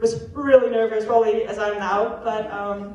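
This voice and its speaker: Audible room echo surrounds a woman whose voice sits fairly high. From Netherlands. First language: Dutch. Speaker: college athlete. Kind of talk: testimony.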